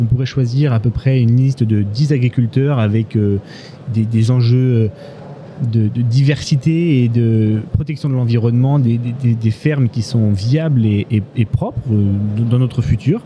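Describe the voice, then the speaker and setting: A man speaks fairly slowly at a medium pitch, his loudness very even. Background noise is noticeable. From Corrèze, Limousin, France. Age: 20s. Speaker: farm worker. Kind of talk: interview. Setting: live at a trade fair. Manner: halting.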